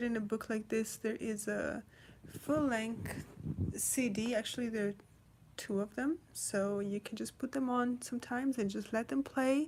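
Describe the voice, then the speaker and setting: A woman's somewhat breathy voice with a non-native accent, fairly even intonation and a moderate pace. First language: not English. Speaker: storyteller reading children's books. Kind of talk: casual chat; reading aloud. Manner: hesitant, many fillers.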